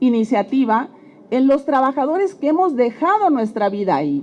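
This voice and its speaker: Through noticeable background noise, a woman speaks with a high pitch. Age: 60s. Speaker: retired oil company worker. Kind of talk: public testimony.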